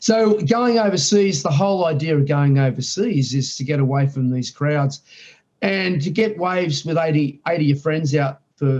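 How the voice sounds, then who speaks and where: With an Australian accent, a man speaks at a fairly high pitch. His voice is somewhat breathy. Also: lively intonation, moderate pace. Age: 60s. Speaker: surfer. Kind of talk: interview on live stream.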